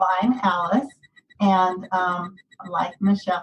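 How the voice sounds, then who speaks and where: Her voice comes across as somewhat breathy. The speaker is a woman. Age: 60s. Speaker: weight loss course participant. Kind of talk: personal testimony in podcast interview. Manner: halting.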